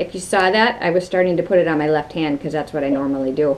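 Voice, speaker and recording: Very fast and with fairly even intonation, a woman delivers her words. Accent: Wisconsin. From Wisconsin. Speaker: craft video host. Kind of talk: tutorial. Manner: casual, conversational.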